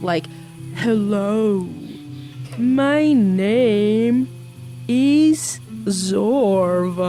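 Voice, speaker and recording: In a put-on character voice, a female-sounding speaker talks at a very slow pace and medium pitch for a woman, with clear background noise. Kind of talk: posh, refined. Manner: exaggerated, imitated.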